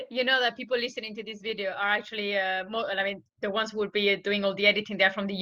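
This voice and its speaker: A woman speaks very fast in a French accent, her pitch fairly high and her tone bright and sharp. Her intonation stays monotone and flat. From France. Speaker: interviewer. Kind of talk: interview.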